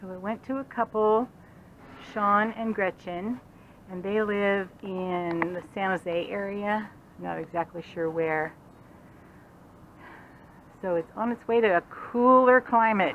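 A woman talks at a fairly slow pace with long, frequent pauses and ordinary pitch variation. Light background noise sits underneath. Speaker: RV vlogger. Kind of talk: casual vlog chat. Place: street. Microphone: phone near.

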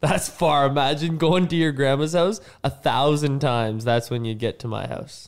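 A man with a Canadian accent talks at a moderate pace, his pitch fairly high. His pitch varies in an ordinary way against a quiet background. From Canada. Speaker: professional hockey player; guest. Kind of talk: casual chat with children. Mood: playful, friendly. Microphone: studio mic.

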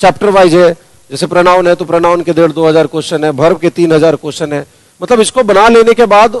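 The background stays quiet. Against it, a man talks at a moderate pace. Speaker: English teacher. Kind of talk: lecture. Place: classroom. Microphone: headset.

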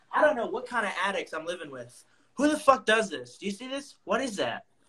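A man with an American accent, extremely high-pitched, with lively intonation against a quiet background. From suburban Pennsylvania. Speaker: comic artist and show co-host; comic artist host. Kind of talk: casual chat. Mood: joking, crude humour. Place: home room. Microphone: earbuds.

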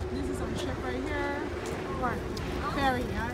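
A woman at a moderate pace, with crowd noise in the background. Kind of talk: casual vlog chat. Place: station. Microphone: phone near.

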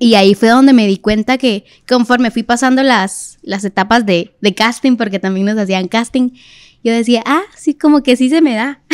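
The quiet background carries a woman's fairly high-pitched voice. She keeps a moderate pace with ordinary pitch variation. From Guatemala City. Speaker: singer, reality show winner; podcast guest. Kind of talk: casual interview. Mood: warm, animated. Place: studio. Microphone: studio mic.

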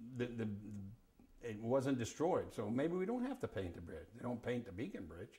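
At a moderate pace, a man speaks with lively intonation. His voice is somewhat breathy with a dark, mellow tone. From Hudson Valley, New York, USA. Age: 80s+. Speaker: sailor, salvage yard operator and real estate agent. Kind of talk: oral history interview answer. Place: home room.

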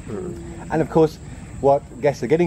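Faint music sits in the background while a man talks at a moderate pace. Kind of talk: interview answer. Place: garden.

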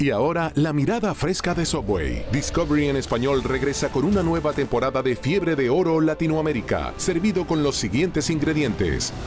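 Music plays behind a man with a fairly high pitch and ordinary pitch variation. He keeps a moderate pace with hardly any pauses. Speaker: announcer. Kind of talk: TV promo read. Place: booth. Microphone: studio mic.

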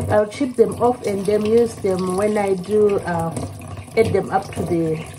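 Amid noticeable background noise, a woman's voice rises and falls in very wide pitch swings. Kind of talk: tutorial. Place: kitchen. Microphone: phone near.

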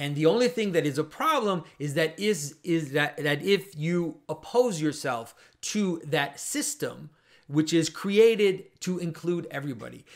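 A man's lively intonation at a moderate pace against a quiet background. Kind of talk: commentary.

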